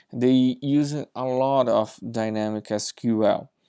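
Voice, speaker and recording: A man with a Brazilian accent speaks at a medium pitch in a monotone, flat way. The recording is very clean, with a silent background and a dry, close sound with no echo. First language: Portuguese. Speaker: software engineer. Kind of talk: tech demo presentation.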